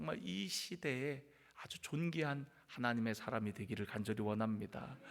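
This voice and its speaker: A man talking at a moderate pace. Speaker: pastor. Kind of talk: sermon. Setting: church.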